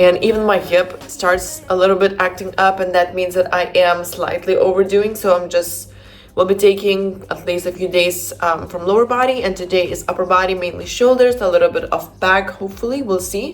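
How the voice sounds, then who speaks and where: Over noticeable background noise, a woman with a non-native accent speaks at medium pitch with fairly even intonation and hardly any pauses. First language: not English. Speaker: fitness coach. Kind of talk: vlog. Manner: fast, talkative.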